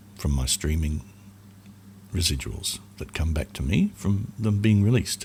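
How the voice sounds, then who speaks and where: Very deep, low male voice, somewhat breathy, with lively intonation. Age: 60s. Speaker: musician and podcaster. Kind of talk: casual advice talk. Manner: casual, hesitant with fillers.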